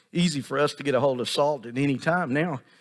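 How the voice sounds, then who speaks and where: Fairly quick speech from a man, ordinary pitch variation, quiet background. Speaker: pastor. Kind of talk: sermon. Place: church.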